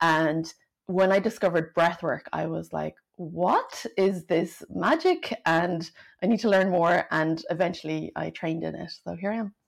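A woman speaks with a fairly low pitch and vocal fry. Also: fairly even intonation, moderate pace. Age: 40s. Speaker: breathwork coach and former neuroscientist. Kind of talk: casual interview chat.

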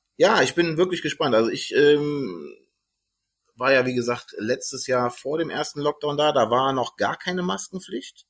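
At a moderate pace and a fairly high pitch, a man uses a normal speaking voice with ordinary pitch variation. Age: 30s. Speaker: podcast host. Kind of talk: casual chat.

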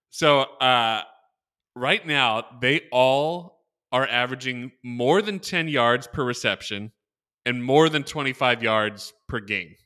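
Loud and very slow, a man speaks with a bright, sharp tone and ordinary pitch variation over a very clean recording with a silent background. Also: medium pitch for a man. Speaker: podcast host. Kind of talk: casual sports chat. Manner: loud, excited.

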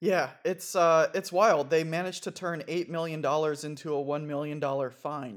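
On a very clean recording with a silent background, a man with a plain, everyday voice speaks at a fairly high pitch, with fairly even intonation and hardly any pauses. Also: moderate pace. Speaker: podcast co-host. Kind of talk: casual chat, news recap.

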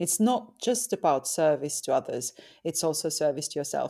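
A woman with a Finnish accent speaks at a moderate pace in a dark, mellow tone, fairly low in pitch. Her pitch swings very widely in a very clean recording with a silent background. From Finland. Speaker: tantric sex and relationship coach. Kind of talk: interview.

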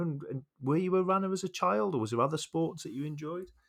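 A West Midlands accent comes through at a fairly quick pace on a very clean recording with a silent background. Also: man. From England, Shrewsbury. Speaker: podcast host. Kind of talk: casual chat.

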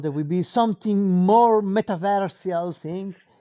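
This man speaks at a moderate pace. He has an Italian accent. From Italy. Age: 40s. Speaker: artist. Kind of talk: casual interview.

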